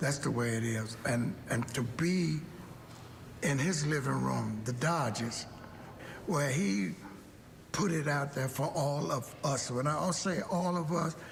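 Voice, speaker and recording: A man's fairly high voice at a very slow pace, with lively intonation, very even loudness, long, frequent pauses, audible room echo and noticeable background noise. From Kentucky, Lexington. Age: 80s+. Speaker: former baseball player. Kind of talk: documentary interview.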